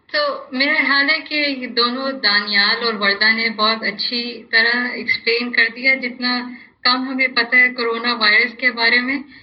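A woman speaks in a high, flat monotone over noticeable background noise. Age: 30s. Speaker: business professor. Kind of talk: panel discussion.

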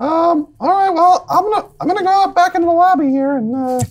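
Squeaky and pitched extremely high, this put-on character voice moves at a moderate pace. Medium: actual play. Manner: direct, plain-spoken.

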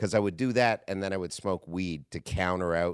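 The sound is dry and close, with no echo. A man with a very deep, low pitch talks at a fairly quick pace with ordinary pitch variation. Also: very clean recording, silent background. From Canada. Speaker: comedian. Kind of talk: casual chat. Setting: studio.

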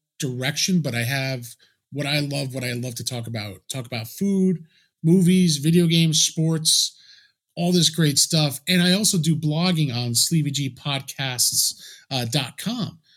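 A man with an unremarkable speaking voice, fairly high pitch, lively intonation, and a moderate pace. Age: 40s. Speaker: podcast host. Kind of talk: casual chat.

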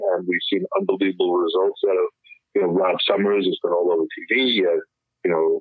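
At a moderate pace, a man talks with a New York accent. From New York City, Upper East Side. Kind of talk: interview.

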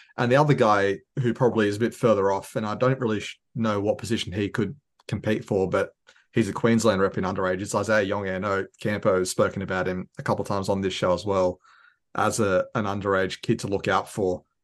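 Someone with an Australian accent speaks at a very fast pace with fairly even intonation against a quiet background. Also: man, fairly low pitch for a man. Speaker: fan podcaster. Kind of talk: casual sports chat.

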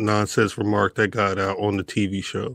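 Speaking at a fairly slow pace, a man has a normal speaking voice with a fairly low pitch. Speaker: podcast host. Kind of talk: casual banter.

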